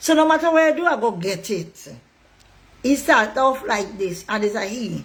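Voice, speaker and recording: At a moderate pace, a woman with a high pitch sounds animated, her voice making very wide pitch swings. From Tobago. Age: 60s. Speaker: political commentator. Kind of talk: online monologue.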